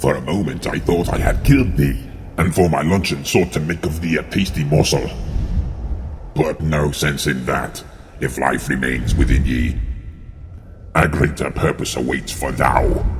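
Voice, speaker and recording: A put-on character voice moves at a moderate pace with long, frequent pauses against clear background noise. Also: man, very deep, low pitch for a man. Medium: read story. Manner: sneering, menacing.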